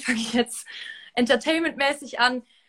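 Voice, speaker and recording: Her voice is high-pitched, and this woman's tone is bright and sharp. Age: 20s. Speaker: reality TV contestant. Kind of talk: interview. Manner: halting.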